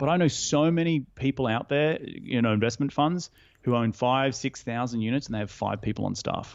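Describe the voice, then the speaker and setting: A man's medium-pitched voice, ordinary pitch variation, fairly quick pace. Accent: Australian. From Australia. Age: 30s. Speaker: real estate investor. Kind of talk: podcast interview. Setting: call. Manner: animated.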